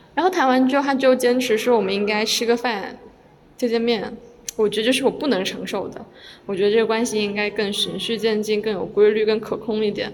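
A woman's fairly high-pitched voice with fairly even intonation, amid noticeable background noise and audible room echo. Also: fairly quick pace. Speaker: solo podcast host and student. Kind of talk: casual solo monologue. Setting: recorded in a corridor. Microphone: occasional poor sound quality from pausing the recording.

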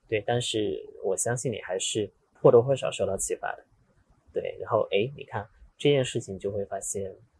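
Speaking at a moderate pace, a man leaves long, frequent pauses and swings widely in loudness. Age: 30s. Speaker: investment community organizer, podcaster. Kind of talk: casual chat. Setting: in person, Guangzhou.

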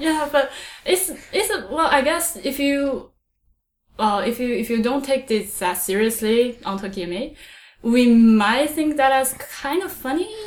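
A woman's high voice with very wide pitch swings, at a fairly slow pace, in a Chinese accent. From China. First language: Mandarin Chinese. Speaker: podcast host. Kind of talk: casual chat.

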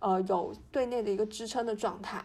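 An ordinary speaking voice with ordinary pitch variation moves at a moderate pace on a very clean recording with a silent background. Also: woman. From Fujian, China. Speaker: podcast co-host. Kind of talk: casual chat.

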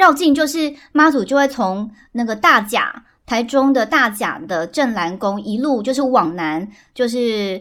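With lively intonation, a woman speaks at a fairly slow pace in a high pitch. The recording is very clean, with a silent background. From central Taiwan. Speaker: podcast guest. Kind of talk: casual chat.

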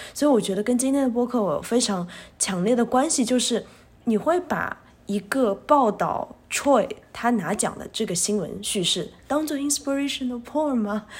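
In a very clean recording with a silent background, a woman with a high pitch talks at a moderate pace with lively intonation. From China. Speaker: special education teacher. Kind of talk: casual chat.

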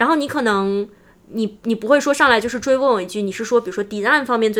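Her pitch is fairly high for a woman. It varies in an ordinary way. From mainland China. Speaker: UX designer. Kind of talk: interview.

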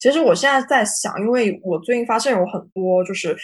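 A woman speaks at a fairly quick pace with ordinary pitch variation. She has a normal speaking voice. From China. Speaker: marketing professional. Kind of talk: panel talk on video call. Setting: video call.

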